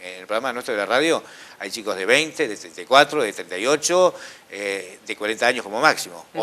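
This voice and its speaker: A man talks at a very fast pace. His voice sits at a medium pitch, with lively intonation. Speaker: radio announcer and host. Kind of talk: interview answer.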